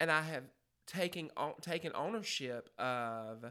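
In a very clean recording with a silent background, a man speaks. His bright, sharp tone has ordinary pitch variation. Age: 30s. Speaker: schoolteacher and basketball coach. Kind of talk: casual chat.

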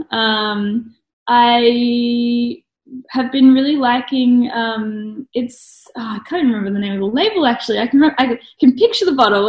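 A woman speaks in an Australian accent. Her pitch is high. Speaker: blogger and graphic designer. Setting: video call.

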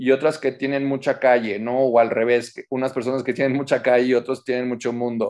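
In an unremarkable speaking voice, a man talks at a moderate pace and medium pitch against a quiet background. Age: 40s. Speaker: public relations director and activist. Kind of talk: interview.

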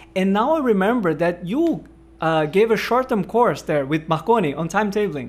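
Speaking with a Portuguese accent, a man uses a high pitch and lively intonation at a fairly quick pace. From northeast Brazil. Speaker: podcast host and researcher. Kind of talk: podcast interview.

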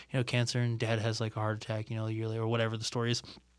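The voice carries an American accent on a very clean recording with a silent background. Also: man. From Ohio, US Midwest. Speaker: podcast guest. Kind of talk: casual chat. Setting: studio. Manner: long-winded.

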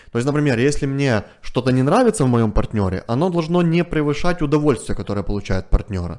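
Against a quiet background, a man speaks very fast with hardly any pauses, his fairly high voice moving in very wide pitch swings. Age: 30s. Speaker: family psychologist. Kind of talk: interview. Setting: studio.

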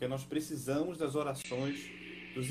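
Room echo is audible around a man whose somewhat breathy voice sits fairly high in pitch. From northern Brazil, Belém do Pará. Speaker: missionary pastor. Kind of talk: live video interview.

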